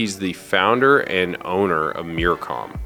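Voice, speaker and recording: Music plays in the background. Over it, a man talks with a very deep, low pitch. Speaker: podcast host. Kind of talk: podcast intro narration.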